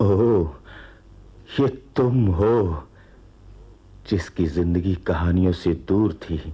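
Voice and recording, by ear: A man's put-on character voice, low-pitched, dark and mellow with a husky, rough edge, very slow, with ordinary pitch variation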